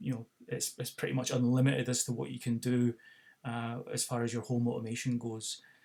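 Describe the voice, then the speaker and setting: A man speaks at a moderate pace with a medium pitch. He has a Scottish accent. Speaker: tech product demonstrator. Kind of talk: tutorial. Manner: halting, many fillers.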